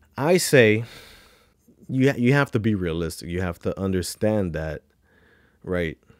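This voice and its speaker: An animated tone at a fairly slow pace, dry with no echo, over a quiet background. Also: man, fairly low pitch for a man. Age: 30s. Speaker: YouTube commentator. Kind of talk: reaction commentary. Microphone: studio mic.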